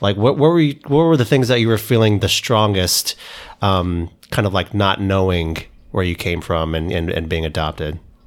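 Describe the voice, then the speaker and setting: Over a silent background in a very clean recording, a man with a normal speaking voice and fairly low pitch talks at a moderate pace with lively intonation. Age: 30s. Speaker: podcast host. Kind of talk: interview.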